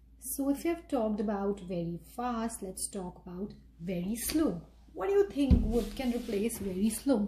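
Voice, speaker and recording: A woman with a fairly high voice and an Indian accent speaks at a moderate pace, with big swings in loudness. Audible room echo and light background noise are present. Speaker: English teacher. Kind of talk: tutorial.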